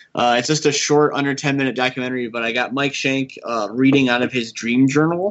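A man with a plain, everyday voice speaks at a fairly quick pace with hardly any pauses. His medium pitch holds fairly even intonation. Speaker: film director. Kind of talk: casual interview.

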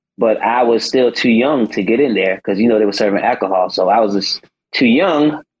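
With an American accent, a man talks at a fairly quick pace in a plain, everyday voice, his pitch varying in an ordinary way and his loudness very even. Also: medium pitch for a man. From South Carolina. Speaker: singer on a TV talent show. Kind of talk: casual interview chat.

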